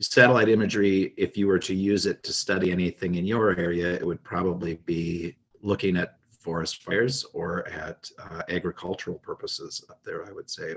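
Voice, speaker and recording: A man with an Upper Midwest accent, moderate pace, hardly any pauses, and big swings in loudness. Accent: Upper Midwest American. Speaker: project coordinator. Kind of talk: online meeting moderation. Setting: video call.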